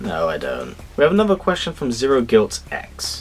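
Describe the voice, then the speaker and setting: A man with a British accent speaks at a moderate pace with very wide pitch swings, music playing in the background. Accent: British, sometimes mistaken for Australian. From UK. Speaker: YouTuber. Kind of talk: casual Q&A. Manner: casual, with filler words.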